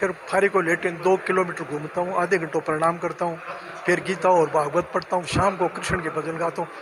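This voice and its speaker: Over noticeable background noise, a man speaks in a high, monotone voice with flat intonation. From Rajasthan, Churu area. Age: 80s+. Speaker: retired pensioner. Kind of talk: interview. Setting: pensioners' welfare centre.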